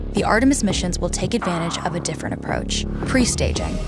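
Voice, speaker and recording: A woman rattles off her words very fast, with music in the background. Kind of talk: documentary narration, educational.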